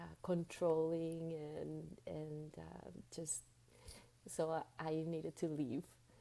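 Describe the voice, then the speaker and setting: Speaking very slowly in a Spanish accent, a woman with a dark, mellow tone and fairly low pitch keeps a monotone, flat intonation. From Venezuela and Dominican Republic, Latin America. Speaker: spiritual guide and coach. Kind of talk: interview. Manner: halting, repeats words.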